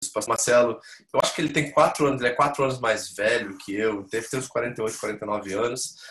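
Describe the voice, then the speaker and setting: There is audible room echo as a man talks very fast at a medium pitch with fairly even intonation. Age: 40s. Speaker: pastor. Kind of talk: church membership class with personal testimony. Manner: informal, conversational.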